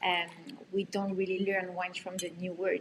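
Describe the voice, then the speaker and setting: A woman speaks with a French accent. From France. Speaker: sommelier. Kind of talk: casual online chat. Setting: live online stream.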